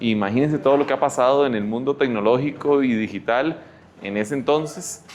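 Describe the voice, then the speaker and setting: Music plays behind a man with a Costa Rican accent who speaks at a moderate pace in a fairly high pitch. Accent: Costa Rican Spanish, noticeable. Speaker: health tech speaker. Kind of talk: lecture. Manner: halting.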